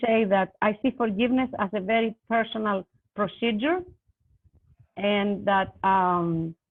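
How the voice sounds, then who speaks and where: In a non-native accent, a woman talks at a fairly slow pace with very even loudness and ordinary pitch variation. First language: not English. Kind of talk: panel discussion. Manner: halting, many fillers.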